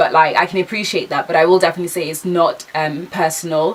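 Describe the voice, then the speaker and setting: A woman speaks very fast in a fairly low voice. Noticeable background noise runs underneath. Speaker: vlogger, aspiring TV presenter. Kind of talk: casual chat. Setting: sitting down talking to camera. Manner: fast, stumbling over words; casual, filler-heavy.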